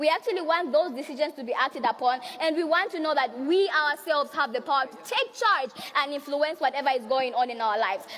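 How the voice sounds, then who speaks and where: Over noticeable background noise, a woman speaks at a very fast pace in a high pitch. Her intonation is lively and her tone passionate. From Zambia. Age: young. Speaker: youth and women's rights activist. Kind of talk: conference speech. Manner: passionate, forceful.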